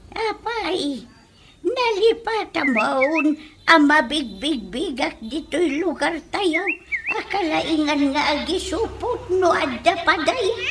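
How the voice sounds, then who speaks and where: The extremely high pitch of this put-on character voice comes at a very slow pace. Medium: audio drama. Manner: scolding.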